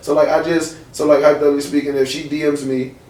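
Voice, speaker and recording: Noticeable background noise accompanies a man speaking at a fairly high pitch. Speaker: radio host and club scene figure. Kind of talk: casual talk show guest answer.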